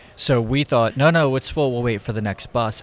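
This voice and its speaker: With an American accent, a man speaks in a plain, everyday voice at medium pitch with ordinary pitch variation. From Philadelphia, US. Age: 50s. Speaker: photographer. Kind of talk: casual interview. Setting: conference venue.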